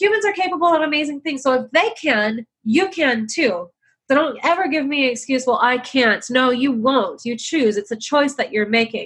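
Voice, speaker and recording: Here a woman speaks in a high pitch. Her intonation is lively. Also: moderate pace. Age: 30s. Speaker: real estate investor, capital raiser. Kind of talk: interview.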